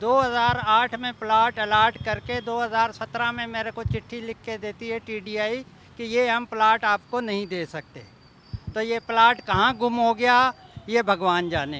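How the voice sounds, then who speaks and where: A man speaks in a raised, projected voice at an extremely high pitch. His tone is bright and sharp, with fairly even intonation. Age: 70s. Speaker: plot buyer, residents' association member. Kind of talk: media interview, complaint.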